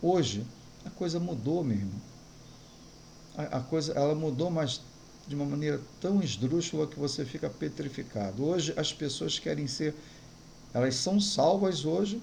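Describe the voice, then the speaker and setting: A man's somewhat breathy, fairly high-pitched voice at a moderate pace, lively in intonation, with long, frequent pauses and audible room echo. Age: 60s. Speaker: pastor. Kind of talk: sermon.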